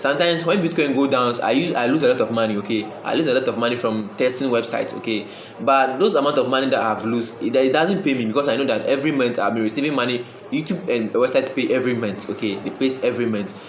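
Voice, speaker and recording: A medium-pitched man at a very fast pace, with audible room echo and noticeable background noise. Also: ordinary pitch variation. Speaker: online money-making YouTuber. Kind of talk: casual talk to camera. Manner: halting, with many repeated words.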